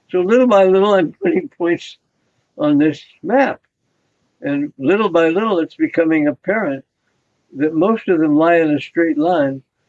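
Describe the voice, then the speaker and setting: Pausing long and often, a man talks in a high voice. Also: very even loudness. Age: 90s. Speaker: scientist, molecular biologist. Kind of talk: interview recollection.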